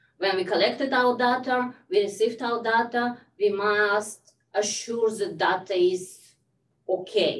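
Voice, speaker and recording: A woman with a non-native accent speaks at a fairly slow pace with ordinary pitch variation. Audible room echo surrounds her voice. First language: not English. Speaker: health data researcher. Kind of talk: lecture. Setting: video call. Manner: halting.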